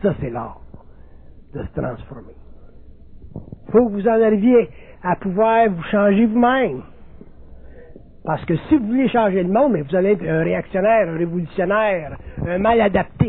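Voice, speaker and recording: Taking long, frequent pauses at a moderate pace, a man speaks at a high pitch with lively intonation. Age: 60s. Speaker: spiritual lecturer. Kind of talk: lecture.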